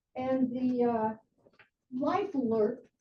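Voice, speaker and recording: Her tone is dark and mellow. The woman's pitch sits high. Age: 80s+. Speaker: resident speaking at public comment. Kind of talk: public comment at township meeting. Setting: township trustee meeting.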